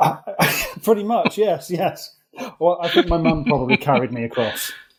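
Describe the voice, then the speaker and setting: With an English accent, a man speaks at a high pitch, his voice making very wide pitch swings. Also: moderate pace. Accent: English-sounding rather than Welsh. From England, moved from Wales at age three. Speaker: accident management executive. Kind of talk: podcast interview.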